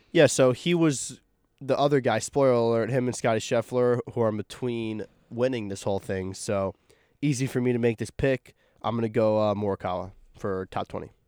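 In a very clean, dry and close recording with a silent background and no echo, a man speaks in a plain, everyday voice at a medium pitch, fairly quick, with ordinary pitch variation. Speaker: student golf podcast co-host. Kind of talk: casual chat.

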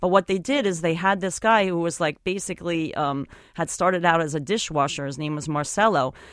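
A woman talks at a fairly quick pace in a fairly low pitch with an unremarkable speaking voice. The recording is very clean, with a silent background. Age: 40s. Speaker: photographer and author. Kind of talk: interview. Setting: studio.

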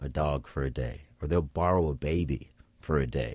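Very cleanly recorded against a silent background, a man with an American accent speaks with vocal fry in a very deep, low pitch and ordinary pitch variation. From Boston. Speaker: sociology professor. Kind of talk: radio interview. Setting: studio.

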